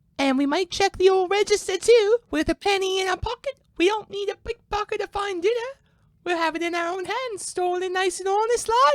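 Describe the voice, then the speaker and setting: A woman does a put-on character voice that is squeaky and extremely high in pitch, with ordinary pitch variation at a fairly quick pace. The sound is dry and close, with no echo. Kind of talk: melodramatic period acting. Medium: audio drama.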